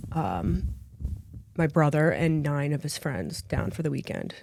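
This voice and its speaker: At a fairly slow pace, a woman talks in a very deep, low pitch with vocal fry and ordinary pitch variation. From Philadelphia area, Pennsylvania. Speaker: podcast guest. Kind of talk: casual interview. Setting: studio.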